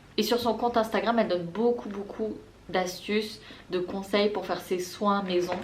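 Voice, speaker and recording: There is noticeable background noise and audible room echo. A woman talks at a moderate pace. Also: medium pitch for a woman. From La Réunion. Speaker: beauty and lifestyle vlogger. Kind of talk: casual haul vlog. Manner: chatty, enthusiastic.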